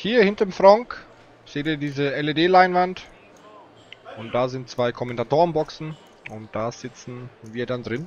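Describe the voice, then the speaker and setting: A man with a fairly high pitch speaks at a fairly slow pace with long, frequent pauses, lively intonation and big swings in loudness, in a dry sound with no echo and light background noise. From Franconia, Germany (Nuremberg area); Germany. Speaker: poker commentator. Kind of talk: live commentary. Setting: commentator booth at live event. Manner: animated. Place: booth.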